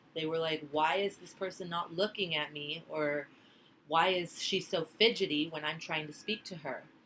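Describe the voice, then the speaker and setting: The tone is bright and sharp, with fairly even intonation at a moderate pace. Loudness swings widely. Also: woman, fairly low pitch for a woman. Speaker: student giving a class speech. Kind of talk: class presentation speech.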